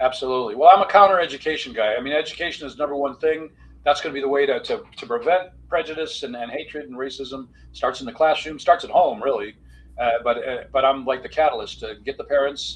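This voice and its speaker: Speaking very fast with an American accent, a man with a fairly high pitch keeps ordinary pitch variation while his loudness swings widely. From US Midwest, Detroit. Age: 60s. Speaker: author and physician. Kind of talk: podcast interview. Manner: halting, many fillers and repeats; animated.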